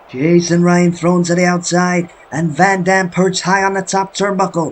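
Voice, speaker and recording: A man with a high voice speaks at a moderate pace in a flat monotone over noticeable background noise. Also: hardly any pauses. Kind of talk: sports commentary. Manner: play-by-play commentary.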